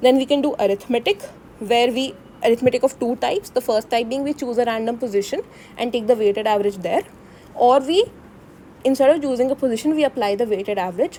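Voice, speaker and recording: Over noticeable background noise, a woman talks at a very fast pace. Her voice is high, with ordinary pitch variation. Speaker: student tutor explaining course material to classmates. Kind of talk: tutorial. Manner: casual, informal.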